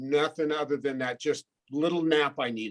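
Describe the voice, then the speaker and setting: An ordinary speaking voice from a man, with ordinary pitch variation and a moderate pace. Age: 60s. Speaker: board trustee. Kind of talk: casual chat.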